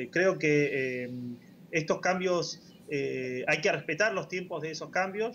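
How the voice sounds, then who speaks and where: A man with a high pitch speaks at a very slow pace with ordinary pitch variation. Light background noise is present. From Argentina. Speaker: filmmaker; guest. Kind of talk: interview. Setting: video call. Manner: halting, many fillers. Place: home room. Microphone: video call.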